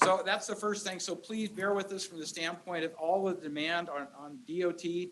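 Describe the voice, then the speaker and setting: Loud and with hardly any pauses, a man with a high pitch talks at a moderate pace and fairly even intonation over noticeable background noise. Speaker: county supervisor. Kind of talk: public meeting address. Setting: community meeting room with crowd.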